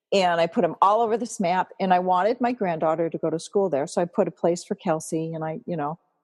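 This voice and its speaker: In a normal speaking voice, a woman talks at a fairly quick pace with a fairly low pitch and ordinary pitch variation, the sound dry and close with no echo. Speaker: empowerment coach. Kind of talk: interview, life story. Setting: podcast.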